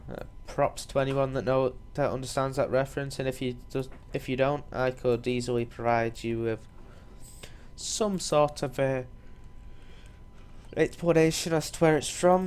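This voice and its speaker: The pace is moderate. Long, frequent pauses break up the speech. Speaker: gaming video creator. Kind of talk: let's play commentary. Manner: halting, many fillers.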